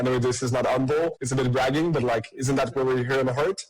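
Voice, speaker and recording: Very fast and somewhat breathy, the voice carries a French Canadian accent. Its intonation stays fairly even. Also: man. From Quebec. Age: 30s. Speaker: tech startup CEO. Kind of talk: podcast interview.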